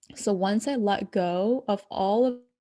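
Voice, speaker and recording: Against a quiet background, a woman with a non-native accent speaks in a dark, mellow tone at medium pitch, with ordinary pitch variation. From abroad, moved to the US at ten. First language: not English. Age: young. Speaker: spiritual coach. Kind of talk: podcast interview.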